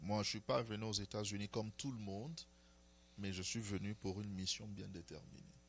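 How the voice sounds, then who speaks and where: The speech moves at a moderate speed. The pitch rises and falls in an ordinary way. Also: man, fairly low pitch for a man. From DR Congo. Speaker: prophet. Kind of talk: interview. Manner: hesitant, many fillers.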